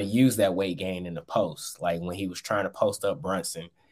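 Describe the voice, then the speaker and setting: A plain, everyday voice from a man with an American accent, fairly low in pitch, fairly quick, ordinary pitch variation, on a very clean recording with a silent background. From Michigan (Saginaw). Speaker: sports beat writer. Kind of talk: casual chat.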